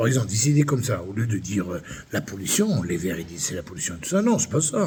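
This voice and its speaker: An animated tone with very wide pitch swings comes through over noticeable background noise. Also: man. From France, Limoges. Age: 60s. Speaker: vlogger. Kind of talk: angry rant monologue.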